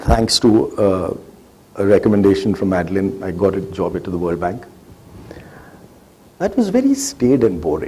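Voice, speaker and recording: A man with an Indian accent speaks with long, frequent pauses. Audible room echo and noticeable background noise surround him. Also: moderate pace. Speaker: government agency head. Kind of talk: interview on stage. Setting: stage with audience.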